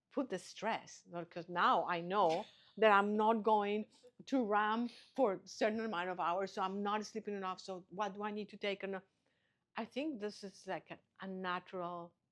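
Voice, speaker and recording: A woman with a medium pitch speaks at a moderate pace with fairly even intonation. Her loudness swings widely, and she takes long, frequent pauses. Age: 60s. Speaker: Ayurvedic practitioner and spa founder. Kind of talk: interview conversation.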